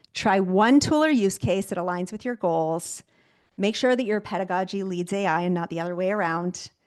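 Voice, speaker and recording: A woman's fairly quick delivery, with ordinary pitch variation, sits over a quiet background. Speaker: keynote speaker and AI-in-education trainer. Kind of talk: webinar presentation. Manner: fast.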